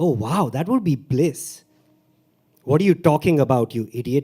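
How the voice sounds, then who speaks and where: A man speaks with a Mumbai accent. His tone is dark and mellow. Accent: South Bombay English. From India, South Bombay. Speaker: stand-up comedian and open mic performer. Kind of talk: open mic poetry performance. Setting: stage with audience.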